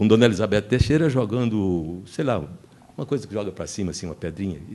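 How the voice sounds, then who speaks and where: A man's voice with vocal fry. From Northeast Brazil (Paraíba interior). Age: 80s+. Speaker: film crew member, panelist. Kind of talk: seminar talk, reminiscence. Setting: festival seminar panel. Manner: halting, many false starts.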